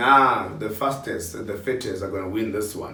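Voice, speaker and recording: Amid audible room echo and noticeable background noise, a man at medium pitch speaks in an animated tone. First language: not a local South African language. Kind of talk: announcing nominee rankings.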